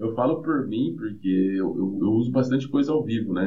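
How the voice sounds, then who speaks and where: Audible room echo surrounds a man speaking at a medium pitch with ordinary pitch variation and a moderate pace. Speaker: metal band guitarist and vocalist. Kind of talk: casual interview chat. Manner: hesitant, many filler repetitions.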